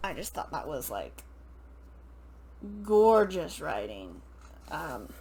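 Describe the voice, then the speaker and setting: Amid audible room echo, a woman speaks at a very slow pace with long, frequent pauses. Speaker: book reviewer. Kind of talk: casual book review monologue. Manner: hesitant, many fillers.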